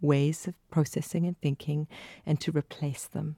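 A woman speaks with a South African accent at a very deep, low pitch. The recording is very clean with a silent background, and the sound is dry and close with no echo. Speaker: mental health specialist and vicar. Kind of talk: interview. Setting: studio.

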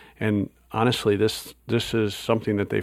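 A man with an Upper Midwest accent, fairly low in pitch, at a moderate pace. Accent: Upper Midwest American. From US Midwest, Wisconsin. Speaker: pastor. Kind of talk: interview conversation. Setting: conference recording.

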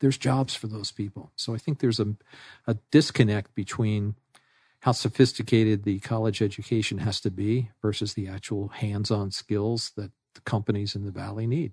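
Somewhat breathy, fairly low-pitched speech at a moderate pace from a man with an American accent, dry and close with no echo, over a quiet background. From New York City. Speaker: business executive and adjunct professor. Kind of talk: interview.

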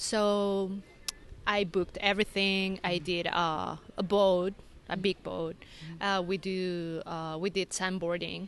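A woman speaks fairly slowly at a medium pitch in a Spanish accent, with monotone, flat intonation. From Mexico City. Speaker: resort marketing manager. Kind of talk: interview.

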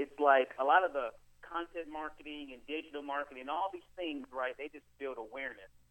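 This is a man with an unremarkable speaking voice and a fairly high pitch. He talks at a fairly quick pace with ordinary pitch variation. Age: 30s. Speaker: digital marketer and speaker. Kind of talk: interview.

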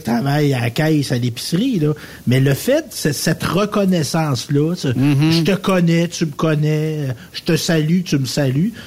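Noticeable background noise sits behind a man with a fairly high-pitched voice. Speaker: radio co-host. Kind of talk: casual chat.

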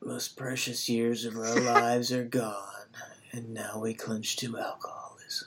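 Delivered at a moderate pace, a put-on character voice stays monotone and flat. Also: man, medium pitch for a man. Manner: gloomy, despairing.

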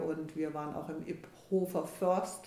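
Audible room echo and noticeable background noise surround a woman as she speaks. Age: 60s. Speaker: financial adviser turned money coach. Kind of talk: casual interview. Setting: in person at the host's office.

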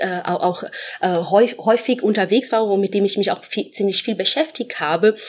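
The speaker talks at a moderate pace with a Portuguese accent. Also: woman. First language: Portuguese (speaking German). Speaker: professor. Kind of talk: interview. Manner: hesitant, many fillers.

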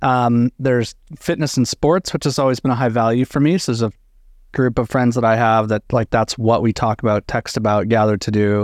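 Against a quiet background, a man with a plain, everyday voice speaks at a fairly quick pace and medium pitch, with ordinary pitch variation, very even loudness and a dry, close sound with no echo. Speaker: co-host, talks about theology and history. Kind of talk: casual group discussion.

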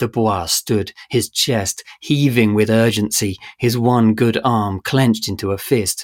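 Someone is reading aloud in a natural voice.

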